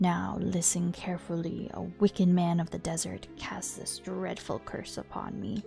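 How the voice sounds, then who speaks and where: Over clear music in the background, a woman puts on a gruff character voice at a moderate pace. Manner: menacing, theatrical.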